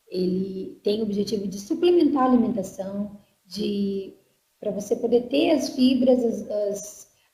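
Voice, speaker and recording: Amid audible room echo, a woman talks with ordinary pitch variation. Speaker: marketing staff presenter. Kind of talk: online sales presentation. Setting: online conference.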